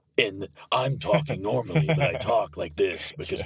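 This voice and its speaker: Using a put-on character voice, a man speaks raspy and dramatic at a moderate pace and medium pitch. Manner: dramatic trailer delivery.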